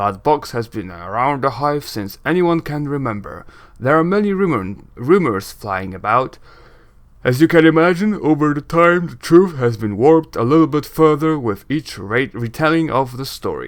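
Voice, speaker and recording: A man puts on a character voice in a fairly high pitch, speaking at a moderate pace with very wide pitch swings. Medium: game stream. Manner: brash, gruff.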